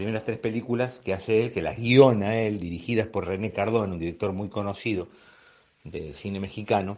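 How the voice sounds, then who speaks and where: A man with a Buenos Aires accent, fairly low in pitch, with fairly even intonation. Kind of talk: podcast talk on magic history. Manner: unhurried, rambling.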